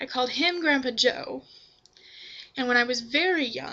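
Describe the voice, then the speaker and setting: A woman speaks in a high voice against noticeable background noise. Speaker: vlogger. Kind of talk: casual talk to camera, answering a questionnaire. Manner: relaxed, with frequent 'um'.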